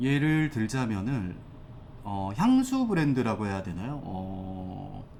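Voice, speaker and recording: Speaking at a very slow pace with lively intonation, a man is heard with audible room echo. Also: medium pitch for a man. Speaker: fashion brand consultant, YouTuber. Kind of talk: tutorial. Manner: casual, hesitant with fillers.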